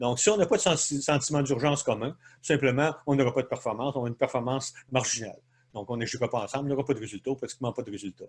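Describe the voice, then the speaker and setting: Somewhat breathy, a man talks at a very fast pace with medium pitch and ordinary pitch variation. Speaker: leadership consultant. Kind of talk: webinar presentation. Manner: hesitant, many fillers.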